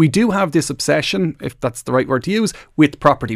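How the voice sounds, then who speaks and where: Very fast and with lively intonation, a man with an Irish accent speaks in a fairly high voice with vocal fry, in a dry, close sound with no echo. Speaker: financial advisor. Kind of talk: radio phone-in advice.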